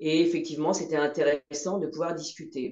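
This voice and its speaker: She has a voice of dark tone. It sounds mellow too. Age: 60s. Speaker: patient. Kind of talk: testimony. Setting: video call.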